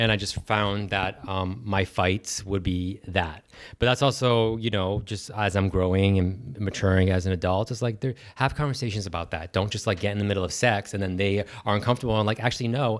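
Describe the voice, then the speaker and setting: An unremarkable speaking voice from a man with fairly low pitch, fairly even intonation and a fairly quick pace, on a very clean recording over a silent background. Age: 30s. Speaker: podcast guest. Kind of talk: casual chat.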